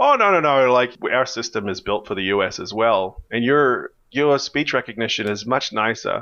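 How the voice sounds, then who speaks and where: With an American accent, a man talks at a moderate pace with hardly any pauses, his tone bright and sharp and his pitch variation ordinary, against a quiet background. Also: medium pitch for a man. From Australia. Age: 40s. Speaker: software company founder. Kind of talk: podcast interview. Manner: halting, many restarts and fillers.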